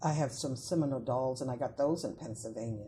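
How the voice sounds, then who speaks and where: Speaking at a fairly quick pace with an American accent, a woman has a very deep, low pitch and a dark, mellow, somewhat breathy tone, with fairly even intonation. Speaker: folklorist. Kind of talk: interview answer.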